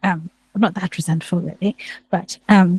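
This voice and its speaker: The voice is somewhat breathy, and the sound is dry and close with no echo. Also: woman. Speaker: theologian. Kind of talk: reflective talk to live audience. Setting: room with live audience, also streamed online. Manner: halting, repeats words.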